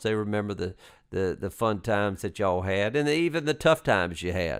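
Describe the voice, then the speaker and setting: Recorded very cleanly against a silent background, a man with a fairly low pitch talks at a moderate pace with lively intonation. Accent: Southern US. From US South. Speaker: basketball coach, podcast host. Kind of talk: casual interview chat.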